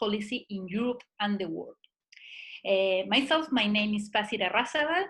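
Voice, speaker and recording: The speaker has a Spanish accent. Pitch variation is ordinary. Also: woman. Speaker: seminar moderator. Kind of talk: webinar introduction.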